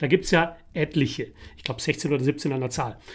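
The recording is very clean, with a silent background. A man speaks at a moderate pace. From Netherlands (The Hague). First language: Dutch (speaking German). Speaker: podcast co-host. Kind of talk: casual chat.

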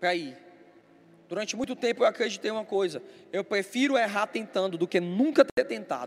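A man with lively intonation. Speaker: pastor. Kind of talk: sermon.

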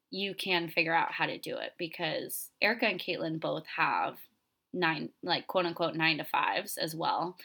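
Moderate-paced female speech on a very clean recording, the background silent. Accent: American. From Florida. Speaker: podcast host and retreat leader. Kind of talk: casual storytelling monologue. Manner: animated.

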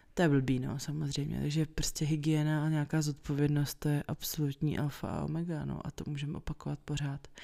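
Speaking at a fairly quick pace, a woman uses a very deep, low pitch, a dark, mellow tone and monotone, flat intonation. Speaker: podcast host. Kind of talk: casual chat. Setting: at home.

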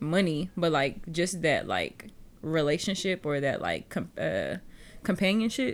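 A woman with an American accent and a fairly low pitch at a fairly slow pace, in a very clean recording with a silent background. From Texas, Houston area. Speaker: podcast host. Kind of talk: casual chat.

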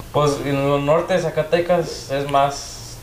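Noticeable background noise and audible room echo both come through in the clip. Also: man. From Denver, Colorado. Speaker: bajo quinto player. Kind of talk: casual chat.

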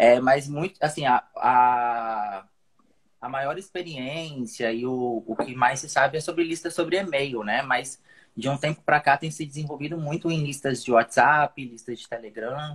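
Speaking at a fairly slow pace, a man uses a fairly high pitch with ordinary variation. His loudness swings widely. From Espírito Santo, Brazil. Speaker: digital marketer, former PE professional. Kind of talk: casual chat. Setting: live call on stream. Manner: halting.

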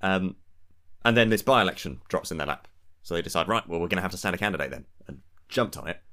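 A man with an English accent, very deep and low pitch, a bright, sharp tone, a very fast pace broken by long, frequent pauses, and ordinary pitch variation, on a very clean recording with a silent background. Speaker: political podcast co-host. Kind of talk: casual political discussion.

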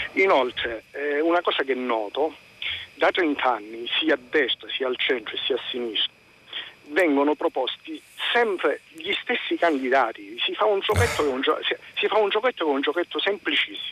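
Background music under a man's moderate-paced speech. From Calabria. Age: 50s. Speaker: caller. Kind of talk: call-in opinion. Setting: phone call.

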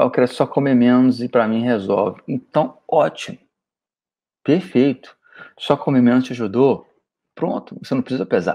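Dark and mellow in tone, a man speaks at a moderate pace and medium pitch with ordinary pitch variation, leaving long, frequent pauses. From Goiânia, Brazil. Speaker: weight-loss diet coach. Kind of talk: solo podcast monologue. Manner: animated.

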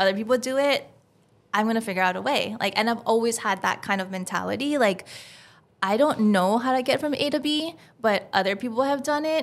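Recorded very cleanly over a silent background, a woman with a normal speaking voice talks at a fairly quick pace, her pitch fairly high with ordinary variation. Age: 40s. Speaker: podcast host and filmmaker. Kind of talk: casual chat.

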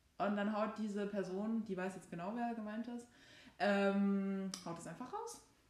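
Speaking fairly slowly in a medium-pitched, monotone voice, a woman is heard over noticeable background noise with audible room echo. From Saxony, Germany. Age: 22. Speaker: law student, podcast co-host. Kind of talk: casual chat. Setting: sitting on a bed at home.

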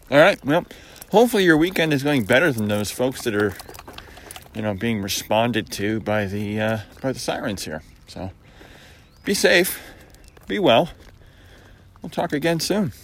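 A man with an American accent at a moderate pace, very wide pitch swings and long, frequent pauses, amid noticeable background noise. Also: medium pitch for a man. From US Northeast, Syracuse New York. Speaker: vlogger. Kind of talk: casual monologue. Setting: outdoors on a walk.

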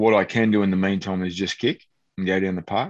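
A man with an Australian accent speaks at a very deep, low pitch against a quiet background. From country Victoria, Australia. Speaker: former footballer and kicking coach. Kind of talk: casual interview.

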